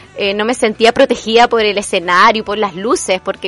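Music plays in the background as a woman speaks in a fairly high pitch. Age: 30s. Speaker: radio host, theatre teacher. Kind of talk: personal storytelling monologue.

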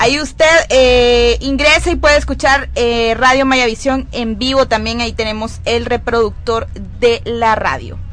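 A woman talks at a fairly slow pace. Music plays in the background, and the room echo is audible. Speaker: youth radio host. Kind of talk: live radio show.

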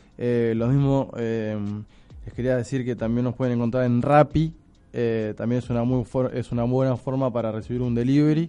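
This man's tone is dark and mellow. The intonation he uses is fairly even. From Argentina, Buenos Aires. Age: 30s. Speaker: restaurant owner. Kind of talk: radio interview. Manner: halting, many fillers.

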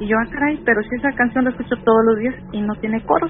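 A woman's voice is heard over noticeable background noise. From Tamaulipas, Mexico. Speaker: caller. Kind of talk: phone-in story. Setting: phone call.

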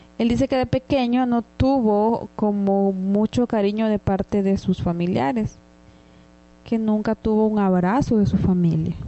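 A woman speaks at a fairly slow pace with very even loudness and ordinary pitch variation in a plain, everyday voice. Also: medium pitch for a woman. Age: 30s. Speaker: podcast co-host. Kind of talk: casual chat.

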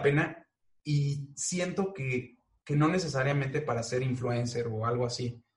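The man talks at a fairly slow pace in a fairly high voice. His delivery is somewhat breathy. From Mexico. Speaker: animator and voice-over artist. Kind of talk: casual chat.

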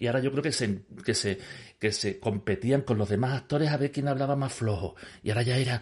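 Somewhat breathy, a man speaks at a fairly quick pace in a medium pitch, with ordinary pitch variation and very even loudness. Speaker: podcast host. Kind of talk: casual interview. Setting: cinema screening room. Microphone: echo on his voice.

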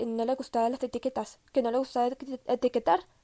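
Her voice is high-pitched and fairly quick, the woman heard with a dry, close sound that has no echo over a quiet background. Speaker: podcaster sharing personal health story. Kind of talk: personal monologue. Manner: halting, many fillers and restarts.

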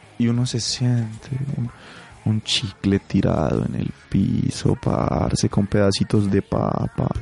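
Very slow speech from a man with a fairly low voice, over noticeable background noise. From Colombia, Pasto. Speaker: radio host. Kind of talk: casual chat.

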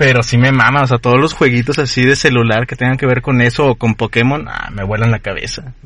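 This man speaks very fast. Pauses are hardly present at all. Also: medium pitch for a man, fairly even intonation. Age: 20s. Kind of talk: casual chat.

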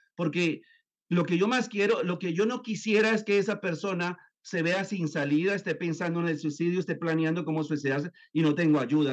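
This man's voice is high in pitch, and he talks at a moderate speed. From Colombia, then raised in the US. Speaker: neuroscience therapist and author. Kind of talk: interview. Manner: hesitant with fillers and repetitions.

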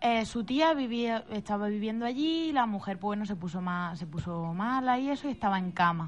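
Somewhat breathy, the voice carries lively intonation and hardly any pauses. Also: woman, fairly high pitch for a woman, fairly quick pace. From Spain, Málaga province. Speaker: psychic medium. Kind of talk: interview. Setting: radio studio.

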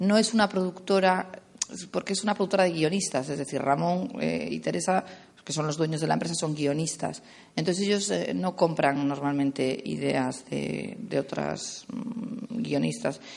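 Very deep and low in pitch, a woman speaks with vocal fry and very wide pitch swings. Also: moderate pace. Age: 30s. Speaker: production coordinator. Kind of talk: festival talk with audience Q&A.

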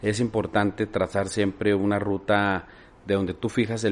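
With a normal speaking voice, a man talks at a moderate pace, his fairly low pitch held in fairly even intonation. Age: 50s. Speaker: politician. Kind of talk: interview.

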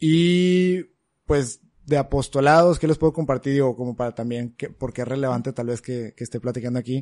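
Speaking at a fairly quick pace in an ordinary speaking voice, a man keeps to a medium pitch with ordinary pitch variation, heard in a dry, close sound with no echo. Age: 20s. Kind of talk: casual chat.

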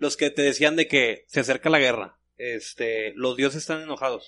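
A man's fairly high voice at a moderate pace against a quiet background. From Monterrey, Mexico. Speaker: podcast co-host. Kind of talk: casual chat. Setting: studio.

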